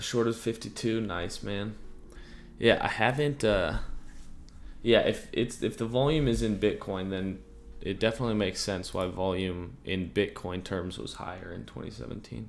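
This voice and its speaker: A man speaks with a fairly low pitch and vocal fry. His pitch varies in an ordinary way. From Germany and West Africa. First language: German. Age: 20s. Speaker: crypto trading streamer. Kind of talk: casual livestream chat. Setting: livestream. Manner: slow.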